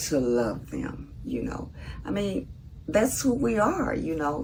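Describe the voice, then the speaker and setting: Noticeable background noise and audible room echo surround a woman speaking at a very slow pace. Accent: Southern US. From US South, Mississippi. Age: 70s. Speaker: vlogger. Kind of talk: casual monologue.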